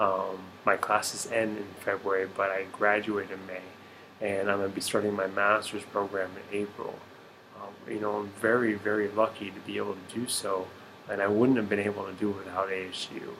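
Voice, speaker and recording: A man speaks quietly at a fairly quick pace, in a fairly low pitch with monotone, flat intonation. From Arizona. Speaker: military service member and student. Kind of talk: personal video reflection. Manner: hesitant, many fillers.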